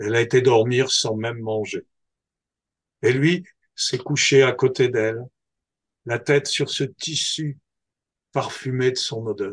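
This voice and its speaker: The speaker talks very slowly and somewhat breathily, with long, frequent pauses and fairly even intonation. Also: man, medium pitch for a man. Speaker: storyteller. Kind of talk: oral folktale telling.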